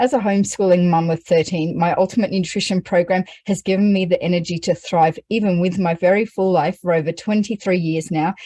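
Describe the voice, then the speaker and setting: In an Australian accent, a woman speaks at a very fast pace and medium pitch, her tone dark, mellow and somewhat breathy, with fairly even intonation and a dry, close sound with no echo. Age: 40s. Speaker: homeschooling mother. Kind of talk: testimony.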